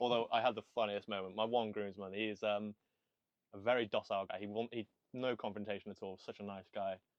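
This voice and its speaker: A man with a Welsh accent speaks very fast. His fairly low voice stays monotone and flat. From Wales. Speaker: podcast host. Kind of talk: casual chat.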